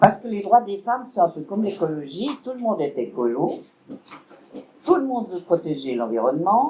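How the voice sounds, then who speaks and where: Very wide pitch swings mark a woman's speech, broken by long, frequent pauses, over noticeable background noise. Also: medium pitch for a woman, moderate pace, big swings in loudness. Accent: Vaud. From Switzerland, canton of Vaud. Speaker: political speaker, party member. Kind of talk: public lecture.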